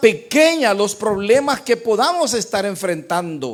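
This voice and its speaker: The background is silent and the recording very clean. A man's tone comes across as animated. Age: 60s. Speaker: pastor. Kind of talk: sermon. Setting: church.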